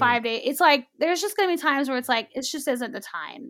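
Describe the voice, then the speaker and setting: A woman projects a raised voice at a high pitch, bright and sharp in tone, with ordinary pitch variation. The recording is very clean, with a silent background. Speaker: sex therapist. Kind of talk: advice-giving interview chat.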